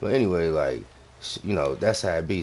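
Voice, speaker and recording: Vocal fry crackles through this man's very deep, low voice. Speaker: gaming live streamer and soldier. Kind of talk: casual chat during live game stream. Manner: talking low.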